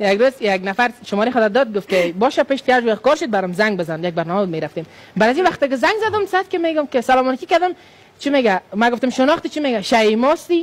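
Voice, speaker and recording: Over noticeable background noise, a man speaks very fast at an extremely high pitch, his pitch swinging very widely. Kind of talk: telling funny anecdotes as a talk-show guest.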